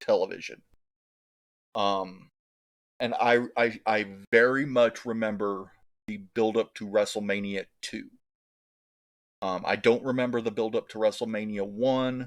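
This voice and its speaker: On a very clean recording with a silent background, a man with an American accent speaks at a medium pitch and a fairly slow pace. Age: 40s. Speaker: wrestling YouTuber. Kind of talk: casual monologue.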